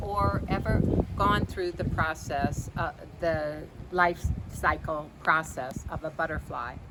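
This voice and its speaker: A very slow pace amid noticeable background noise. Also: woman. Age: 60s. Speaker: life coach. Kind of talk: casual video talk. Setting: outdoors. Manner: casual, with many fillers.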